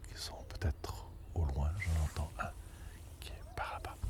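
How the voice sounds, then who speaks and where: A man is soft-spoken. His intonation is lively. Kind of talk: ASMR soft-spoken talk to viewer. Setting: outdoors by the water. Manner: soft-spoken, slow.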